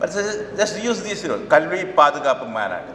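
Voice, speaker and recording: A man talks at a moderate pace in a Kerala Indian accent. Noticeable background noise and audible room echo surround him. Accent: Malayali Indian English. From Kerala, India (Cochin). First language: Malayalam. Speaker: professor and education activist. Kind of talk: public speech. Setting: stage with audience. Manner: halting.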